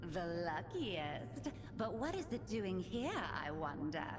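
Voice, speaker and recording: A female-sounding put-on character voice speaks at a fairly slow pace. Loud background noise runs underneath. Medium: solo performance. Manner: teasing, predatory.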